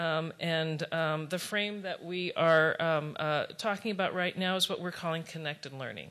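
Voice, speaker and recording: A woman with a plain, everyday voice talks at a moderate pace and fairly low pitch, with hardly any pauses. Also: fairly even intonation. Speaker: foundation program officer. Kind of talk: conference presentation. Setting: stage with audience. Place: hall. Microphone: podium.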